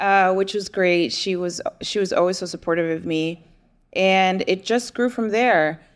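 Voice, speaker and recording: A woman with an American accent talks at a fairly slow pace, medium in pitch with ordinary pitch variation, in an unremarkable speaking voice. The recording is very clean, with a silent background. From New Jersey. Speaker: muralist. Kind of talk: casual chat.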